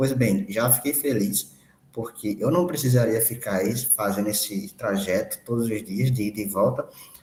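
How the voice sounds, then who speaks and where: At a moderate pace, a somewhat breathy man speaks at medium pitch with ordinary pitch variation. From Rio Grande do Norte interior, Brazil. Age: 20s. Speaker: university student. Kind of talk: personal testimony in online meeting. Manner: halting, with fillers.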